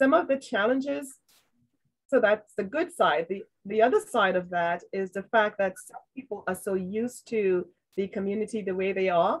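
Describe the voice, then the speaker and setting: A woman with a Trinidadian accent, medium pitch and lively intonation at a moderate pace. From Trinidad, raised in New York. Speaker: trail and community advocate. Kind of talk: panel discussion.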